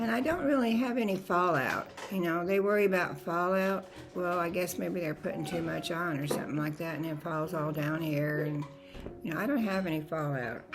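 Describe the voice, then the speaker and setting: A woman's fairly low voice in an American accent, fairly quick and lively in intonation, with audible room echo and music in the background. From Nevada. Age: 80s+. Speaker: lifestyle vlogger. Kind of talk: makeup tutorial. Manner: casual.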